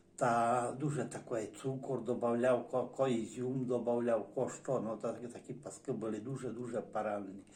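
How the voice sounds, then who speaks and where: In a medium pitch, a man speaks with hardly any pauses. His intonation is monotone and flat, with audible room echo. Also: moderate pace. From Zakarpattia, Ukraine (Berehove district village). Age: 60s. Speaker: dialect informant, villager. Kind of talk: oral history interview. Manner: halting, many hesitations and restarts.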